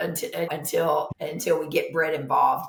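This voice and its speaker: A woman speaks with a Kentucky accent. Her voice carries audible room echo. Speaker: nurse practitioner. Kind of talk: podcast interview. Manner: animated.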